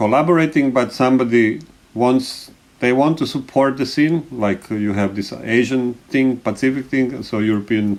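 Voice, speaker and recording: At a moderate pace, a man with a non-native accent speaks in a medium pitch with ordinary pitch variation. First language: not English. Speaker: animation festival director. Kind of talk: panel discussion. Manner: halting.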